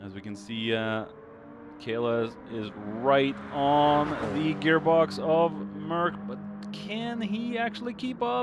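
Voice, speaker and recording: Over noticeable background noise, a man speaks very slowly in a fairly high voice, with very wide pitch swings and big swings in loudness. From Norway. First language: Norwegian. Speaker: sim racing commentator. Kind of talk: live commentary. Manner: halting, many fillers.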